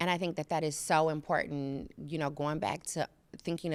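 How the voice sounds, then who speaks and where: Recorded very cleanly against a silent background, a woman speaks with vocal fry in a very deep, low pitch. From Chicago, US Midwest. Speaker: professor and associate dean. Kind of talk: podcast interview. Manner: animated.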